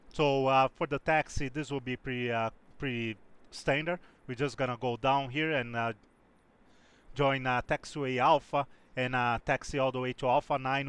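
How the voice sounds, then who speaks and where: A man talks at a moderate pace with medium pitch and fairly even intonation. The sound is dry and close with no echo, over a quiet background. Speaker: flight sim streamer. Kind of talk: live stream commentary. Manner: hesitant, many fillers; talkative.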